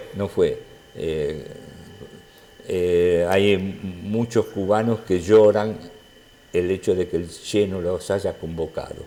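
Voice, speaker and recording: The speech moves at a very slow pace with fairly even intonation and long, frequent pauses. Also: man, fairly low pitch for a man. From Argentina. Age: 80s+. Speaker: former militant interviewee. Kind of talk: interview conversation. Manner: halting.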